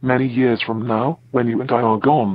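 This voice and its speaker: A man puts on a character voice pitched in a medium range. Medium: game stream. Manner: non sequitur, oddly polite.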